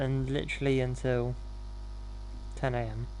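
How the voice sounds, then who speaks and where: A man is talking. He has a southern English accent. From southern England. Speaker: gaming streamer. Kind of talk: live gameplay stream chat. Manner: halting.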